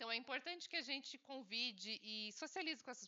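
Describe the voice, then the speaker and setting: Lively intonation and a moderate pace mark this woman's speech. She has an unremarkable speaking voice. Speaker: obstetric nurse-midwife and doula. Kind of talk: lecture.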